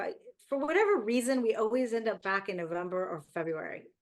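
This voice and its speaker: Speaking at a moderate pace with an American accent, a woman uses a fairly high pitch and ordinary pitch variation. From Miami, Florida. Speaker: online content creator. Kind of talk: casual chat.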